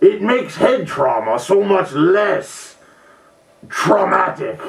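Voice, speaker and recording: Using a put-on character voice that is high for a man, he speaks at a very slow pace with a slight echo. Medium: comedy sketch.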